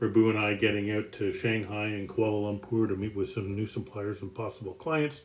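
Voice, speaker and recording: A man with a fairly low pitch speaks at a fairly quick pace, barely pausing, his intonation fairly even. Noticeable background noise can be heard. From Canada, Toronto area. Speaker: business executive. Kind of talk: self-introduction presentation. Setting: outdoors on home deck.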